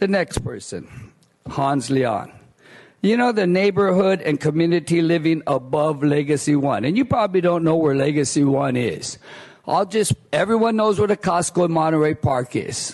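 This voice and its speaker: A man with a fairly high pitch speaks at a moderate pace and very even loudness. His intonation is lively. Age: 60s. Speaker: former planning commissioner speaking at public comment. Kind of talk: public comment speech. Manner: animated.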